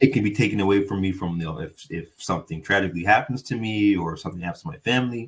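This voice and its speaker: Somewhat breathy, a man talks at a very fast pace. His fairly low voice has lively intonation. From Nova Scotia, North End Halifax. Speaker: city councillor. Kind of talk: interview. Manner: halting, repeats words.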